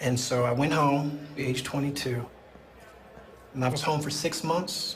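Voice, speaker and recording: A man's fairly high voice, with audible room echo and noticeable background noise. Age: 40s. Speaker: prison inmate. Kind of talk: interview testimony.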